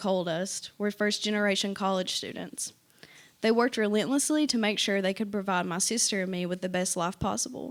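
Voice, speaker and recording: A woman with an Appalachian accent at a fairly quick pace. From eastern Kentucky, Appalachia (Pike County). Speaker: university student, essay contest winner. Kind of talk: reading aloud an essay.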